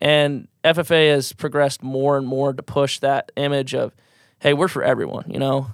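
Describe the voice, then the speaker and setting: A man with a Midwestern American accent speaks at a fairly high pitch and a moderate pace. His intonation is monotone and flat, and the sound is dry and close with no echo. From US Midwest, rural southwest Iowa. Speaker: student organization president. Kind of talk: casual interview.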